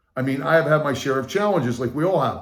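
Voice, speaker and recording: Amid audible room echo, a man with a fairly high pitch speaks in an animated tone with ordinary pitch variation. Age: 60s. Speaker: motivational speaker and sales coach. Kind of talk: channel introduction talk.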